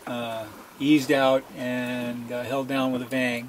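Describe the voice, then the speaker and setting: A man speaking at a very slow pace, with light background noise. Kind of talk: casual vlog chat. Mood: relaxed, content. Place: boat. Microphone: phone near.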